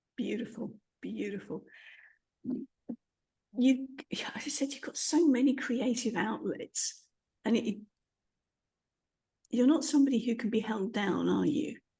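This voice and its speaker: A woman with a fairly high pitch and a dark, mellow tone speaks with vocal fry and ordinary pitch variation. She goes at a fairly slow pace, leaving long, frequent pauses. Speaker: podcast host. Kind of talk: interview questions.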